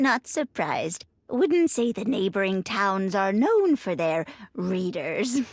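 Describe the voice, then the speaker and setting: Using a put-on character voice, a woman speaks at a fairly slow pace with very wide pitch swings. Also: medium pitch for a woman. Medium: video game. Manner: chatty, chuckling.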